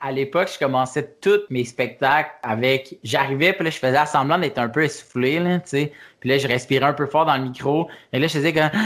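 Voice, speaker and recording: A man with a plain, everyday voice, fairly high pitch for a man and fairly even intonation, at a fairly quick pace in a very clean recording with a silent background. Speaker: stand-up comedian. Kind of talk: casual interview.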